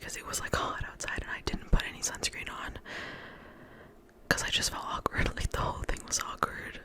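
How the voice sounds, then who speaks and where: The voice is whispering in a relaxed tone. Noticeable noise sits in the background. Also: woman. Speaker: ASMR creator. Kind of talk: ASMR storytime, rambling personal anecdote. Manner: whispered, close-up, relaxed rambling.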